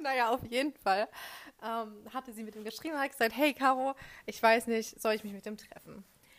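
A woman talks in a normal speaking voice, fairly high in pitch, with fairly even intonation. Her loudness swings widely. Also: fairly quick pace. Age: young. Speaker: communication studies student and podcast co-host. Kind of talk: casual chat.

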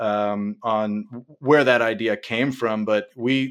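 A man with a Midwestern US accent talks at a medium pitch with fairly even intonation. The recording is very clean, with a silent background. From Ohio, Cincinnati. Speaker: app founder. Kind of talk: casual interview.

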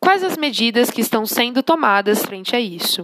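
A woman with an ordinary speaking voice talks at a moderate pace and fairly high pitch with lively intonation. The sound is dry and close, with no echo. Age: 20s. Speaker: social work student. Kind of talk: scripted narration. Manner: formal.

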